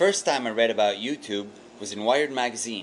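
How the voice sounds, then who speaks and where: A man speaks with a French Canadian accent. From Quebec, Canada. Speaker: vlogger, web developer. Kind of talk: casual video response monologue. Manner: animated.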